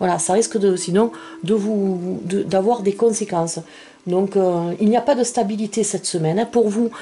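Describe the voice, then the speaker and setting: Over noticeable background noise, a woman with a medium pitch talks at a fairly slow pace with ordinary pitch variation. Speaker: tarot card reader. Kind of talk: tarot reading video. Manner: hesitant, many fillers.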